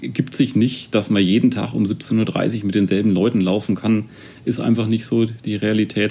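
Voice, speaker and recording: A man talks at a moderate pace in a plain, everyday voice with a fairly low pitch. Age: 30s. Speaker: amateur marathon runner. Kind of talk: interview.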